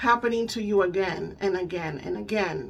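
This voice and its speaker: A woman's medium-pitched voice with a Spanish accent, lively in intonation at a moderate pace. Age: 30s. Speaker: spiritual coach and EFT tapping practitioner. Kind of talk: casual talk to camera. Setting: home. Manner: halting.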